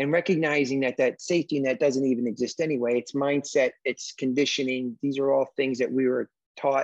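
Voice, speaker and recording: With an unremarkable speaking voice, a man talks at a fairly quick pace with hardly any pauses, his pitch fairly high, his intonation fairly even and his loudness very even, all in a dry, close sound with no echo. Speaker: podcast host. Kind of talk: interview on business podcast.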